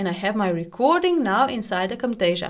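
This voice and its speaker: A woman with a non-native accent talks at a fairly quick pace and medium pitch. Her intonation is lively. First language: not English. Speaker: software tutorial YouTuber. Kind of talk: tutorial. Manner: scripted, read from prepared text.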